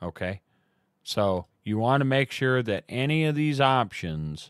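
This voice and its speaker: With lively intonation, a man speaks in a dry sound with no echo over a quiet background. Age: 40s. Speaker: live streamer. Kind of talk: tutorial. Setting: live stream from home computer setup. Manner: casual, many filler words. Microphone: studio mic.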